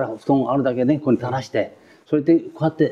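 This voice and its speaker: A man speaking at a very fast pace with fairly even intonation. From Tokyo, Adachi area. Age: 80s+. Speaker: war survivor. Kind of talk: testimony.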